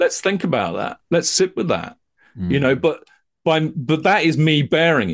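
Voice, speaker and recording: In an English accent, a man talks with lively intonation. His pitch is fairly high and his voice shows vocal fry. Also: moderate pace. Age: 50s. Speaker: psychotherapist and counsellor, former TV producer. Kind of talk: casual chat.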